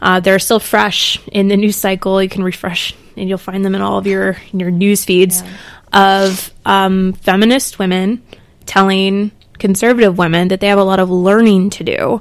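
A woman with an American accent speaks at a medium pitch and a moderate pace. Her intonation is monotone and flat. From South Carolina. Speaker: podcast co-host. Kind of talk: casual chat.

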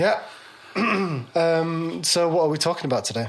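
A man speaks with a fairly high pitch. His pace is fairly slow and his intonation lively.

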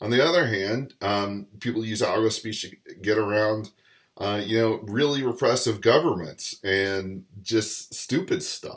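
Ordinary pitch variation marks a man's normal speaking voice at medium pitch and a fairly slow pace. The recording is very clean, with a silent background. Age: 40s. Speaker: podcast host. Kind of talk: solo commentary. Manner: casual, many fillers.

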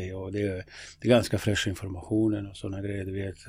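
Captured in a very clean recording with a silent background, a man with a Bosnian accent speaks at a fairly quick pace with a fairly low pitch. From Bosnia, former Yugoslavia. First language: Bosnian (speaking Swedish). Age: 50s. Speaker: local politician and youth football coach. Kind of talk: interview conversation. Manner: hesitant, many fillers.

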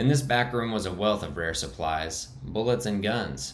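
What you hear is plain reading aloud.

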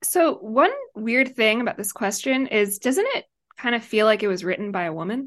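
A woman with an unremarkable speaking voice, fairly high in pitch, at a moderate pace with lively intonation. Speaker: writer and online commentator. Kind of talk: casual banter interview. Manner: joking, laughs often.

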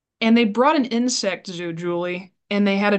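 A woman with a Midwestern American accent at a fairly quick pace, ordinary pitch variation, and a quiet background. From Iowa, US Midwest. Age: 30s. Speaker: librarian and library advocate. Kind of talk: casual chat. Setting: video call. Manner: animated.

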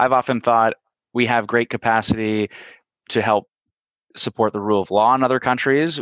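A man with a Canadian accent speaks at a fairly quick pace and medium pitch, with fairly even intonation, over a quiet background. He has a normal speaking voice. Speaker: podcast host, politician. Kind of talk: interview.

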